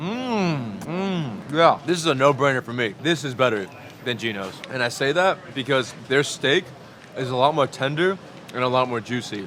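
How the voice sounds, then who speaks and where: A man at a medium pitch with lively intonation and a moderate pace, over noticeable background noise. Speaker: food vlogger. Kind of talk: casual food review vlog.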